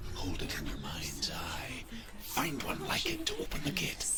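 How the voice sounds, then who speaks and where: A man whispers in a put-on character voice. Loud background noise runs behind him. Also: moderate pace. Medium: machinima. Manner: storytelling, grave.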